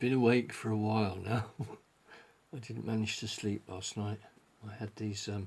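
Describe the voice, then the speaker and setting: A man's mumbling at a fairly low pitch and a moderate pace, flat and monotone in intonation, with big swings in loudness and long, frequent pauses. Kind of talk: casual talk to camera.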